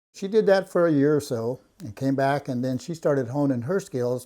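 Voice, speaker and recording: Man with an American accent, a dark, mellow tone, a fairly high pitch and a moderate pace. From Northern California, Yurok. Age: 70s. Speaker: artisan woodworker. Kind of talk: personal storytelling interview.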